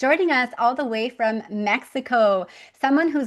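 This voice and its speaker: The background is quiet. It is an ordinary speaking voice, with ordinary pitch variation. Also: woman. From Canada. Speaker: podcast host. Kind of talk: podcast interview.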